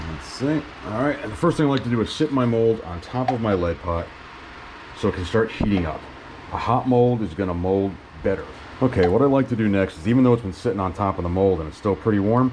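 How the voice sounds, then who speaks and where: With noticeable background noise behind him, a man with a fairly low pitch speaks at a very fast pace and with lively intonation. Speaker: fishing hobbyist. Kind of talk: tutorial. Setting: garage. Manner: casual.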